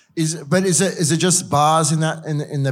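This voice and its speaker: A very clean recording with a silent background and an Australian accent. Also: man. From Queensland. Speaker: podcast host and drinks journalist. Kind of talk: panel moderation.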